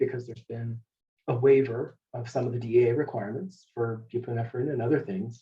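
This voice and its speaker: A man speaks at medium pitch with ordinary pitch variation. His tone is dark and mellow, and somewhat breathy. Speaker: healthcare leadership presenter. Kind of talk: webinar presentation. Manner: fast.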